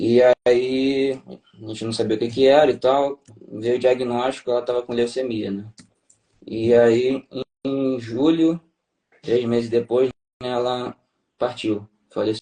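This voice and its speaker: The delivery is fairly slow and monotone, with long, frequent pauses. The tone is dark and mellow, and the sound is dry and close with no echo. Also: man, medium pitch for a man. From Brazil, Rio de Janeiro. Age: 30s. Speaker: tax auditor, former navy officer. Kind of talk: interview testimony. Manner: halting, many fillers.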